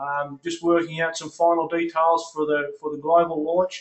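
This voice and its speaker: A man with an Australian accent talks at a moderate pace. His high pitch holds a monotone, flat intonation. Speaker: network marketing leader, call host. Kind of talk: conference call hosting. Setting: phone conference call.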